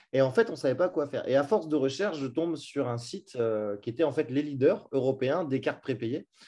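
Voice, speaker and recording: A man talks at a fairly quick pace with a dark, mellow tone and medium pitch for a man. His pitch varies in an ordinary way, and the background is quiet. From France, Brittany. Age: 30s. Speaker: e-commerce entrepreneur. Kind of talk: interview. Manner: casual, hesitant with fillers.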